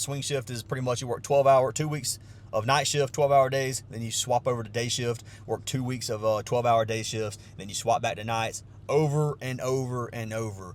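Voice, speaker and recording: A man speaks at a moderate pace. His pitch is medium, with ordinary variation. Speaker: sports bettor and vlogger. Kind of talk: casual vlog talk. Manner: casual, with many fillers.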